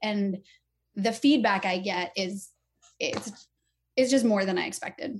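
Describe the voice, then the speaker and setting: This woman speaks at a fairly slow pace and a medium pitch. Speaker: real estate agent. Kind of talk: interview chat.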